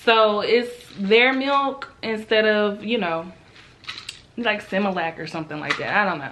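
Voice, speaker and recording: Over noticeable background noise, a woman with a fairly high pitch speaks in an animated tone at a fairly slow pace, with big swings in loudness. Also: lively intonation. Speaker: lifestyle vlogger. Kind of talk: casual vlog talk.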